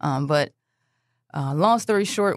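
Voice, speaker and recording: A woman's very deep, low voice with a Philadelphia accent. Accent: Philadelphia American. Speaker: basketball coach. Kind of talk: interview. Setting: studio.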